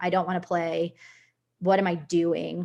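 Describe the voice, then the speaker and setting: Her voice carries vocal fry. The speaker is a woman. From US Northeast, Connecticut (Puerto Rican family). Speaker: soccer player. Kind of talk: personal story in a leadership talk.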